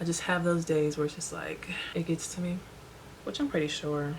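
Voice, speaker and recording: Against noticeable background noise, a woman with a fairly low pitch talks at a fairly quick pace. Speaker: beauty vlogger. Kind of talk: casual chat. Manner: talkative.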